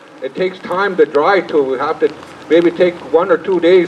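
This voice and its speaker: Noticeable background noise accompanies a man speaking at a moderate pace in a high voice with ordinary pitch variation. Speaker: cultural teacher and dance troupe leader. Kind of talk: speech to an audience. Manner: halting.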